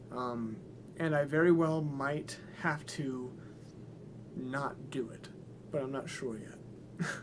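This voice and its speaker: Amid audible room echo, a man with a fairly high pitch speaks at a very slow pace with long, frequent pauses, ordinary pitch variation, and big swings in loudness. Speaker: musician livestreamer. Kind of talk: casual livestream Q&A. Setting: live stream. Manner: hesitant, many fillers.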